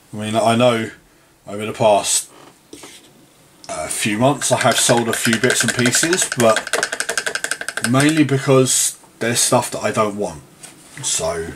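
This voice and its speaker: A man with a medium-pitched voice speaks at a very slow pace, pausing long and often, amid noticeable background noise. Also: ordinary pitch variation. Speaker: miniature painter and wargaming hobbyist. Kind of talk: casual talk to camera. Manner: relaxed, rambling.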